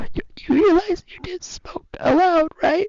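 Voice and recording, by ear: Someone speaks in a put-on character voice at an extremely high pitch. The pace is fairly slow.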